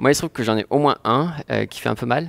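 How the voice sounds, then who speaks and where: A man is speaking. The background is quiet. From France. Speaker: software developer; conference speaker. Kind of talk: conference talk; talk presentation. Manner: halting, many filler words. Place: meeting room. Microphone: headset.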